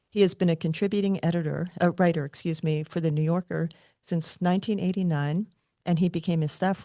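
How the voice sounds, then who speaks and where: With a fairly quick pace and fairly even intonation, this voice has a dark, mellow tone, a dry, close sound with no echo and a quiet background. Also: woman. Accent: New Jersey. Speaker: podcast host. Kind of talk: interview.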